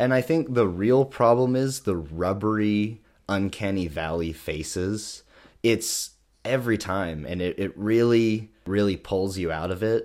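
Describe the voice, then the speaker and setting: In a very clean recording with a silent background, a man uses an ordinary speaking voice, fairly low in pitch, with ordinary pitch variation and a fairly slow pace. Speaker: podcast co-host. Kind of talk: casual chat.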